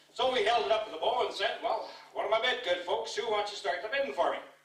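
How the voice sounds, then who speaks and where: Noticeable background noise runs beneath a man who speaks very fast. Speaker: cowboy poet. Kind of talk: poetry reading. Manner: folksy, casual.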